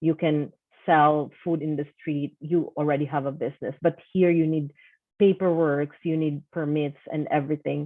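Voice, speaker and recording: In a Filipino accent, a woman talks in a very deep, low register with monotone, flat intonation. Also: moderate pace. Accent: Filipino accent, non-native English. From Philippines. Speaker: online seller and course coach. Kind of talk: personal testimony.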